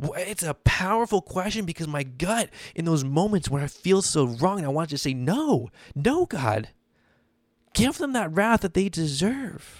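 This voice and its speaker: On a very clean recording with a silent background, a man speaks at a moderate pace and a high pitch, with very wide pitch swings. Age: 20s. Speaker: podcast host, former pastor. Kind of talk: devotional podcast monologue. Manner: casual, conversational.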